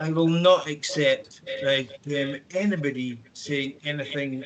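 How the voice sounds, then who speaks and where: A man speaks with a Scottish accent at a fairly high pitch. His pace is very slow. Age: 60s. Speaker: councillor. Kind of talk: council meeting debate. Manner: halting, many fillers.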